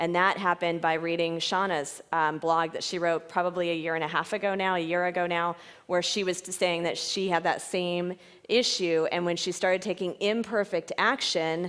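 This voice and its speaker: A woman with a fairly low pitch and monotone, flat intonation. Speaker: fitness franchise owner and mentor. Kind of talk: conference presentation. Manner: fast.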